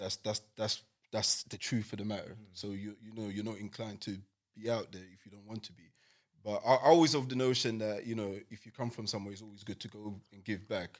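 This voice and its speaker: The speaker has a London accent and talks at a fairly quick pace. The recording is very clean, with a silent background. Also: man, fairly low pitch for a man, fairly even intonation, big swings in loudness. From East London, England. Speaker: podcast host. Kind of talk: casual chat.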